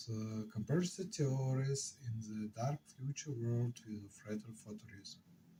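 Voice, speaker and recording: With an Eastern European accent, a man speaks at a fairly slow pace, somewhat breathy and dark, mellow in tone. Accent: Slavic. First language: not English. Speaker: software engineer and board game designer. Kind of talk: casual devlog talk to camera.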